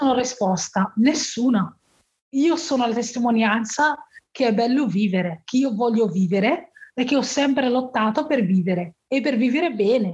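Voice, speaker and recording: Against a quiet background, a woman speaks in a high pitch at a moderate pace. Her intonation is lively and her loudness very even. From Morocco. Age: 30s. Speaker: heart transplant patient and author. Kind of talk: personal life story interview.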